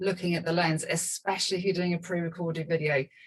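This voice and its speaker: A woman's voice comes across as somewhat breathy. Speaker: video marketing coach. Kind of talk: webinar presentation. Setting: video call. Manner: fast. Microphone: small cheap microphone.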